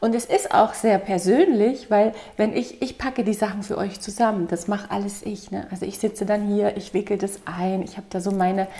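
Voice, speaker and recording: At a moderate pace, a woman delivers her words with fairly even intonation. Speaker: vlogger. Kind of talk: casual vlog chat. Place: home room.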